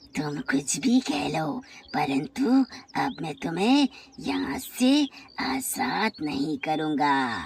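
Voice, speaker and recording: A cartoonish character voice at a middle pitch sounds raspy and hissing. It creeps along at a very slow pace in a menacing tone. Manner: hissing between phrases.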